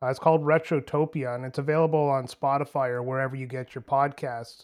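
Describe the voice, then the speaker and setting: A man with an unremarkable speaking voice talks at a fairly high pitch with fairly even intonation on a very clean recording with a silent background. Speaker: gamer guest. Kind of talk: casual chat.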